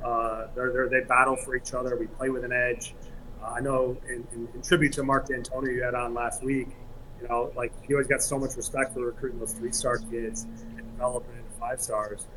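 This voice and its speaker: With an American accent, a man speaks at a fairly quick pace in a monotone, flat intonation against noticeable background noise. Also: medium pitch for a man. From East Lansing, Michigan. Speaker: college soccer coach. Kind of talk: interview.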